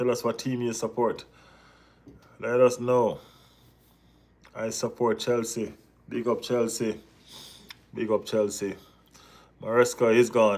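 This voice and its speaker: A speaker with a Jamaican accent talks at a fairly slow pace. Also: man. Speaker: football vlogger. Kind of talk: live stream chat. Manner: animated.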